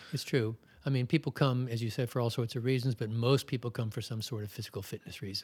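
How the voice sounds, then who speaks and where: A somewhat breathy, very fast American accent voice with fairly even intonation, on a very clean recording with a silent background. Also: man, medium pitch for a man. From Maryland, US (Baltimore). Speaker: yoga teacher. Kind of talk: interview.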